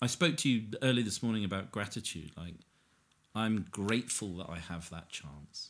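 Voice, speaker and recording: With a southern English accent, a man speaks at a moderate pace and a fairly low pitch, using lively intonation. His loudness swings widely, and he takes long, frequent pauses. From Hertfordshire, southern England. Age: 40s. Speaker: recovering addict sharing his story. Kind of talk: casual interview conversation.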